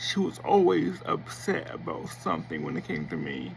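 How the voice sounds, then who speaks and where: There is noticeable background noise. Through it, a man talks at a fairly slow pace. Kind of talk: personal testimony vlog.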